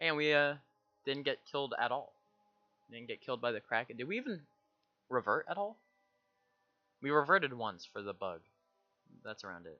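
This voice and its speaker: Over background music, a man speaks quietly at a fairly quick pace and fairly high pitch, with very wide pitch swings, big swings in loudness and long, frequent pauses. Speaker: gaming streamer. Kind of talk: live gameplay commentary. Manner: casual.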